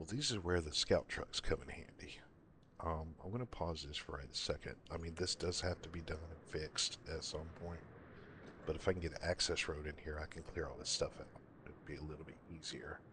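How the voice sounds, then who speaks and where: A man speaks quietly at a fairly quick pace, his very deep, low voice carrying a bright, sharp tone and fairly even intonation. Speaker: gaming streamer. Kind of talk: live gameplay commentary. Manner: quiet, subdued; casual, meandering.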